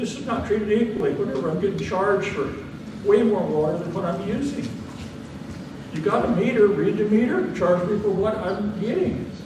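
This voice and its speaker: Talking at a fairly quick pace in a high voice, the man is heard with audible room echo and noticeable background noise. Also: ordinary pitch variation. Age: 80s+. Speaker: member of the public at a hearing. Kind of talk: public comment. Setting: public hearing in community building.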